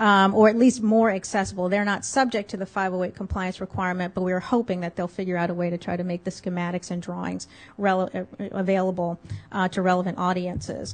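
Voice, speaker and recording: The speaker goes at a very fast pace. The intonation is fairly even. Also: woman, medium pitch for a woman. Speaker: government agency lawyer. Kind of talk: conference presentation. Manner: halting.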